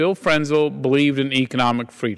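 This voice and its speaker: Against a quiet background, a man with a Texan accent and a fairly high pitch speaks at a fairly quick pace with fairly even intonation. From Texas. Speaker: congressman. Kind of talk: floor speech. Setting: House floor.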